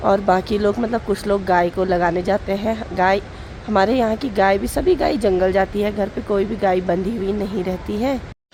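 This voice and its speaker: The speech runs with hardly any pauses. Noticeable background noise is present. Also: woman, medium pitch for a woman, fairly even intonation, moderate pace. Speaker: vlogger. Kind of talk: casual vlog narration.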